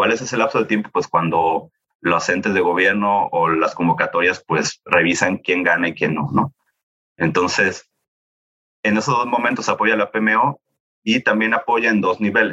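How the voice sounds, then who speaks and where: Using lively intonation at a fairly slow pace, a man with a fairly low pitch keeps his loudness very even in a bright, sharp tone. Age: 30s. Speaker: project management office coordinator. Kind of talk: interview.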